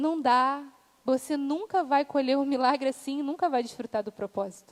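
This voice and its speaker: A woman speaks in a high voice with an animated tone, at a moderate pace and with ordinary pitch variation. The sound is dry and close, with no echo. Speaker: preacher. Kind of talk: sermon.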